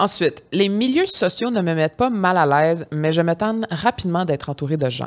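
A woman with a Quebec accent speaks at a moderate pace with hardly any pauses on a very clean recording with a silent background. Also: fairly low pitch for a woman. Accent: Québécois French. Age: 30s. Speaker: podcast co-host. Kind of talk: casual chat.

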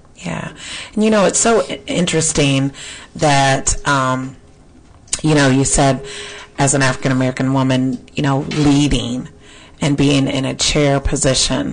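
Over noticeable background noise, a woman with a very deep, low voice speaks fairly slowly with long, frequent pauses and ordinary pitch variation. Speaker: radio host. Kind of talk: radio interview. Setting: studio.

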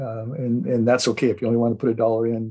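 With an American accent, a man is talking. He moves at a fairly quick pace. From Southern California. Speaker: investment newsletter host. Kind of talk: solo radio commentary. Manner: halting, many fillers.

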